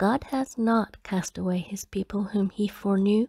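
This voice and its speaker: Soft-spoken and somewhat breathy, a woman talks fairly slowly at a medium pitch with ordinary pitch variation and a dark, mellow tone, the sound dry and close with no echo on a very clean recording with a silent background. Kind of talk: bible reading. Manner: soft-spoken, slow; quiet.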